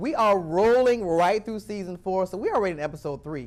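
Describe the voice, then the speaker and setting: An animated man with a high pitch and lively intonation, speaking at a fairly quick pace. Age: 40s. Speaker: talk show host. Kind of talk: interview.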